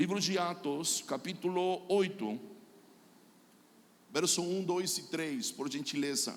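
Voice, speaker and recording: Speaking very slowly, a man uses a high pitch with ordinary pitch variation, and the room echo is audible. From Chile. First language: Spanish (speaking Portuguese). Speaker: pastor and prophet. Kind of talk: sermon.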